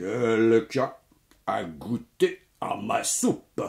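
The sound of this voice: A man puts on a gruff, growling character voice at a medium pitch, speaking at a very slow pace.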